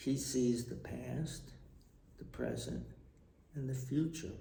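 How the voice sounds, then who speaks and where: Audible room echo surrounds the recording. A man speaks at a very slow pace. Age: 60s. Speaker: retired tax official and storyteller. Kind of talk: personal vlog monologue. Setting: traveling abroad.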